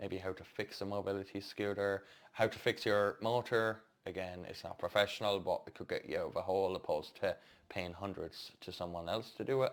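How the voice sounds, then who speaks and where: Someone with an Irish accent talks at a moderate pace in a very clean recording with a silent background. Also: man. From Ireland. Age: 30s. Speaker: stairlift and mobility scooter technician, vlogger. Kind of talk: casual vlog update. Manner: casual, with hesitations.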